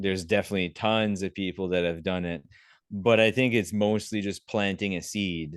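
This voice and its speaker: Against a quiet background, a man with an ordinary speaking voice and a Canadian accent talks at a moderate pace, his pitch fairly low and intonation fairly even. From Canada, Prince Edward Island. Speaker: vegan animal activist. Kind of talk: podcast interview answer.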